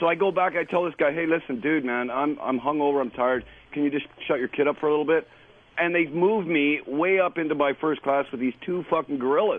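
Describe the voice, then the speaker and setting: Speaking at a very fast pace, a man with a Canadian accent uses a fairly high pitch and ordinary pitch variation. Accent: Canadian, 'aboot' vowel. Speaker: caller. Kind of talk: phone-in anecdote.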